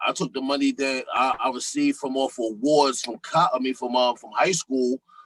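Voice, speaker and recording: A man speaks at a moderate pace with ordinary pitch variation, in a normal speaking voice. The sound is dry and close, with no echo. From US Northeast, Philadelphia and Harlem. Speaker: rapper. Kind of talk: podcast interview.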